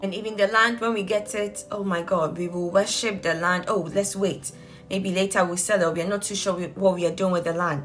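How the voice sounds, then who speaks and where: Over music in the background and audible room echo, a woman talks at a fairly quick pace. Her medium-pitched voice has an animated tone. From Ghana. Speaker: vlogger. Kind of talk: casual vlog monologue.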